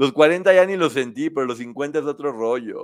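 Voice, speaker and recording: A man with a fairly high pitch speaks in an animated tone at a fairly slow pace. The recording is very clean, with a silent background. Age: 50s. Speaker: online show host. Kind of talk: casual chat.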